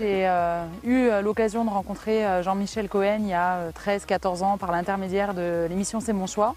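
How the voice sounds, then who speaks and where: The woman's intonation is monotone and flat, at a medium pitch. She keeps a moderate pace with hardly any pauses. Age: 30s. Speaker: home sales rep, weight-loss testimonial. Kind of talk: interview testimony. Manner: hesitant, many fillers.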